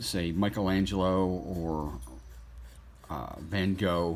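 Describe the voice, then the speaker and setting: This is a man's voice. His pitch sits fairly low. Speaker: artist. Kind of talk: tutorial. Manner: halting.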